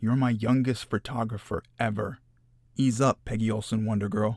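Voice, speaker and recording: In a gruff put-on character voice, a man speaks at medium pitch and a moderate pace with monotone, flat intonation, and the sound is dry and close with no echo. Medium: read story. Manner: gruff, brusque.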